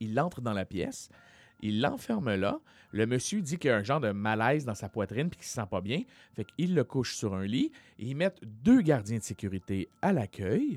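A man uses a normal speaking voice at medium pitch, with lively intonation and a moderate pace, in a very clean recording with a silent background and a dry, close sound with no echo. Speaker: comedian and podcast host. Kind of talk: casual chat; storytelling.

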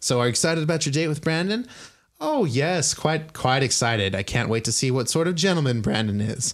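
A man's fairly high pitch on a very clean recording with a silent background. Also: fairly quick pace. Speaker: game master running the tabletop RPG session. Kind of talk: casual tabletop roleplaying game narration and chat. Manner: casual, filler-heavy, hesitant, with frequent laughs.

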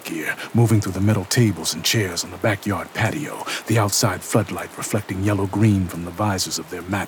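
Someone is reading aloud in a natural voice, the intonation fairly even.

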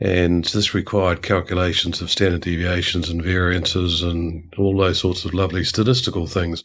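A man talks at a moderate pace in a very deep, low pitch, with hardly any pauses. His intonation is monotone and flat. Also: very clean recording, silent background. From New Zealand. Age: 50s. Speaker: organizational culture consultant. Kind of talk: interview.

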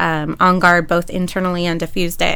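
Through audible room echo comes a woman's fairly low voice with a bright, sharp tone. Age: 30s. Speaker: panelist mom. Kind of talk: casual chat. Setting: studio.

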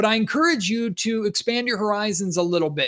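Here a man speaks in an animated tone with ordinary pitch variation. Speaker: sports podcast host. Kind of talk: casual sports talk. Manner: animated host delivery.

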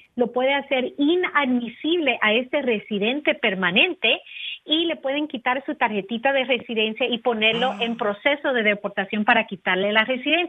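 Her pitch is fairly high for a woman, and her intonation lively. She keeps a moderate pace in an unremarkable speaking voice. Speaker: immigration lawyer. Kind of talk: legal advice segment.

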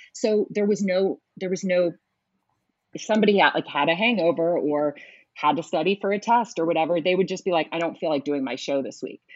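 Speaking at a fairly quick pace, a woman with an American accent uses a plain, everyday voice and ordinary pitch variation. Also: fairly low pitch for a woman. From US West Coast (Oakland, California). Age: 40s. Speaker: Broadway media personality, former radio host. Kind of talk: casual interview chat.

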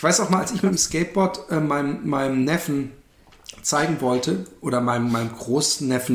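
This man talks at medium pitch with lively intonation. His pace is moderate. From Karlsruhe, Germany. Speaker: podcast co-host. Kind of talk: casual chat.

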